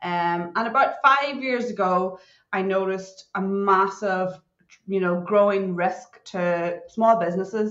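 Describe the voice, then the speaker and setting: Speaking at a fairly slow pace, a woman talks with a Northern Irish accent. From Northern Ireland. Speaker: cybersecurity consultant. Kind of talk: podcast interview. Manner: animated.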